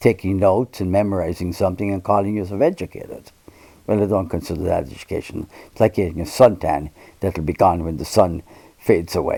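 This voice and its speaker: A man with an American accent speaks fairly quickly, his very deep, low voice dark and mellow in tone. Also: ordinary pitch variation. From Ireland, Limerick City. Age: 80s+. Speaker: priest. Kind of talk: interview, personal reminiscence. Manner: halting, with self-corrections and repeated words.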